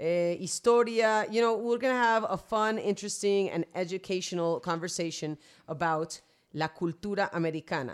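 A woman talks at a moderate pace with medium pitch and ordinary pitch variation, in an unremarkable speaking voice. The recording is very clean, with a silent background. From Vancouver, Canada, to Colombian parents. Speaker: podcast co-host. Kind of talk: bilingual casual chat.

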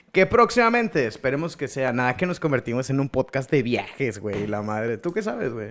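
Hardly pausing, a man speaks fairly quickly at a medium pitch, his voice moving through very wide pitch swings. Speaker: podcast co-host. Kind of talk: casual chat.

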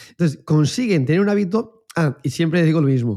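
A man's fairly high, dark and mellow voice at a fairly quick pace, with very wide pitch swings, on a very clean recording with a silent background. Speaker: exercise professional, podcast co-host. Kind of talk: casual chat.

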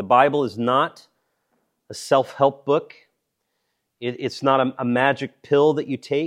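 A man at medium pitch, fairly even intonation, long and frequent pauses, on a very clean recording with a silent background. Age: 40s. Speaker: pastor or Bible teacher. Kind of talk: sermon.

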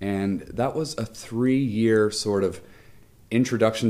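Fairly low in pitch, a man talks in an ordinary speaking voice with ordinary pitch variation. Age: 30s. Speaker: international school teacher. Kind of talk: casual interview chat.

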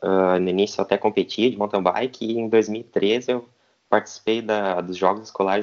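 A man talks in a normal speaking voice at a fairly low pitch. His pace is moderate and his intonation fairly even. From southern Brazil, Rio Grande do Sul (Santa Cruz do Sul). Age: 20s. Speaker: professional cyclist. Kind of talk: interview.

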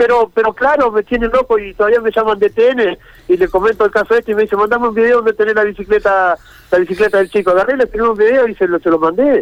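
Speaking very fast, a man with a Rioplatense accent talks in a high voice. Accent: Argentine Spanish (rioplatense, voseo). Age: old. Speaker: fisherman involved in a viral incident. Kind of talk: phone interview on radio.

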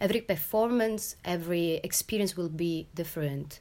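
Speaking with an Italian accent, a woman talks at a fairly quick pace with ordinary pitch variation. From Italy. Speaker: performance artist and choreographer. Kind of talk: interview. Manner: halting.

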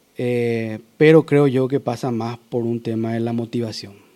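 A man's dark, mellow tone carries fairly even intonation. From Paraguay. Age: 40s. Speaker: powerlifting champion. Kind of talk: interview.

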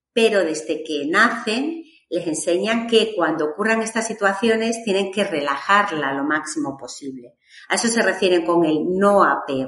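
At a fairly slow pace, a woman talks with lively intonation and a medium pitch. It is a normal speaking voice. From Extremadura, Spain (Badajoz). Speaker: podcast co-host. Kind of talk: casual chat.

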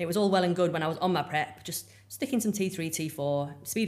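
Speaking at a very fast pace, a woman with an English accent shows ordinary pitch variation. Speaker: bodybuilding coach and figure athlete. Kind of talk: casual interview chat.

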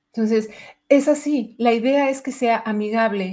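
The speaker is a woman with ordinary pitch variation. She talks fairly slowly. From Mexico City. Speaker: budget analyst and data instructor. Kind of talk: interview / livestream chat.

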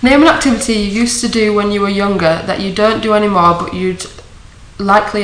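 Noticeable background noise sits behind the voice. A woman talks at medium pitch with fairly even intonation. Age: 20s. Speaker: sports logistics coordinator. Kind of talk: casual chat.

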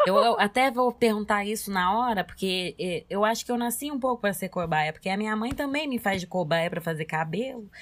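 A woman with an ordinary speaking voice, medium in pitch, lively in intonation, fairly quick and with hardly any pauses. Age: 20s. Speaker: podcast co-host. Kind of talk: casual chat.

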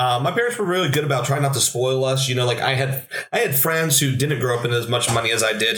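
Noticeable background noise sits under a man talking very fast at medium pitch with ordinary pitch variation. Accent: American. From Pennsylvania, Williamsport area. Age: 30s. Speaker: church media director and tech YouTuber. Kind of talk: casual chat.

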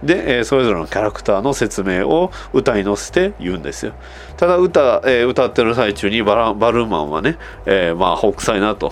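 A man speaks at a fairly quick pace with noticeable background noise behind him. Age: 30s. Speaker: podcast host. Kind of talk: casual monologue.

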